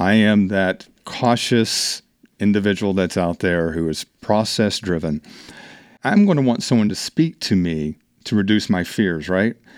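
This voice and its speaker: A man talks with a fairly low pitch and ordinary pitch variation, in an ordinary speaking voice. The recording is very clean, with a silent background. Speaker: HR and business leadership consultant. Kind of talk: casual interview. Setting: studio.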